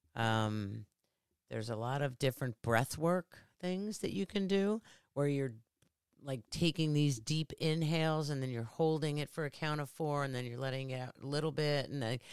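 Very deep, low-pitched woman's voice with lively intonation at a moderate pace, dry and close with no echo. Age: 60s. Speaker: podcast guest, mother and business owner. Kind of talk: casual chat.

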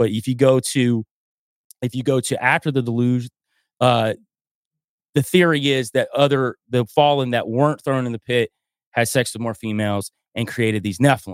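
Speaking in a Southern US accent at a moderate pace, with long, frequent pauses and ordinary pitch variation, the voice comes through a very clean recording with a silent background and a dry, close sound with no echo. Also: man, medium pitch for a man. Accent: Southern US (Georgia). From US South, North Georgia mountains. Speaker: podcaster and musician. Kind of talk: casual interview chat.

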